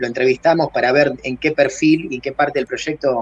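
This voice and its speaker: A man's fairly high voice, a normal speaking voice, at a fairly quick clip with fairly even intonation, the sound dry and close with no echo. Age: 40s. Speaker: crypto project founder. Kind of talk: podcast interview.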